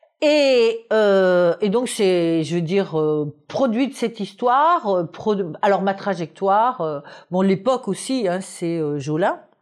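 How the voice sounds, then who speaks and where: Over a quiet background, a woman at medium pitch speaks at a very slow pace with lively intonation. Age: 70s. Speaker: anthropologist. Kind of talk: interview. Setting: at her home in Paris. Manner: halting with many fillers.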